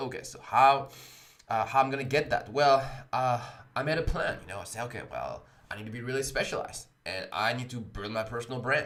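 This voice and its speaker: With a French accent, a man of medium pitch talks at a fairly quick pace with fairly even intonation and big swings in loudness, over noticeable background noise. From France, Paris. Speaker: blockchain coding instructor. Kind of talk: livestream talk. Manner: many fillers, uh and um.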